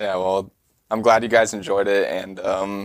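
A man speaks with an American accent at a fairly low pitch. His intonation is monotone and flat. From US Midwest, Iowa. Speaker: wilderness trip leader. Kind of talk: casual interview.

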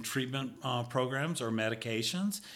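Speaking slowly, a man with a Southern US accent has a medium pitch and a bright, sharp tone. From Mississippi, US South. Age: 60s. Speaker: retired pharmaceutical industry professional. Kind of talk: casual interview chat. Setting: studio.

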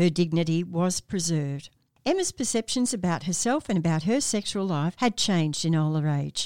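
In a plain, everyday voice, a woman speaks at a moderate pace with a fairly low pitch, lively intonation and very even loudness. The recording is very clean, with a silent background and a dry, close sound with no echo. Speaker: doctor and podcast host. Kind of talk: podcast hosting with narrated story segments. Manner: warm, friendly, laughs often.

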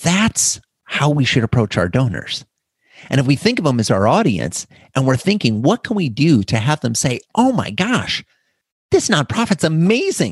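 A man talks at a moderate pace with an animated tone, fairly high pitch, very wide pitch swings and vocal fry. The background is quiet, and the sound is dry and close with no echo. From US Midwest, northwestern Iowa. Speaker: customer experience author and speaker. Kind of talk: interview.

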